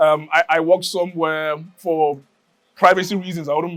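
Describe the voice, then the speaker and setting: A man talks at a moderate pace with a Nigerian accent. His pitch is high. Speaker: community member. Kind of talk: interview testimony. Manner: halting, many fillers and repeats.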